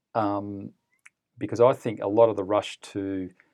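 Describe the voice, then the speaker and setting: A man talks with an Australian accent. His pitch is fairly low. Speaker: fund manager. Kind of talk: interview.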